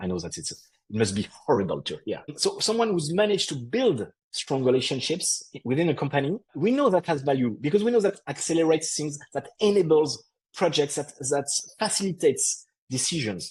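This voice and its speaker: Speaking with a French accent, a man uses a fairly high pitch with vocal fry. He moves at a fairly quick pace with very wide pitch swings. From France. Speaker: podcast co-host on HR and tech. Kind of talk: casual explanatory discussion. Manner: halting, with frequent repetitions.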